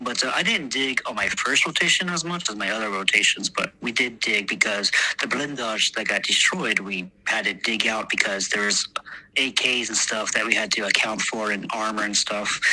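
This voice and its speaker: A man with a Texan accent talks at a fairly quick pace and a fairly low pitch. His pitch variation is ordinary, and noticeable background noise runs underneath. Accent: Texan American English. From Texas, US. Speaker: war veteran. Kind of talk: interview. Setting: podcast interview. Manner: halting, many fillers.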